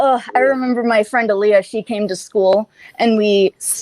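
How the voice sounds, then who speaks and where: Fairly even intonation in a dry, close sound with no echo. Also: woman. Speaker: panel guest. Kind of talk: casual chat. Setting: live show.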